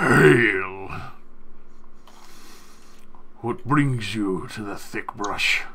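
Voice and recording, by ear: Using a put-on character voice at a medium pitch, a man speaks at a very slow pace with long, frequent pauses over clear background noise.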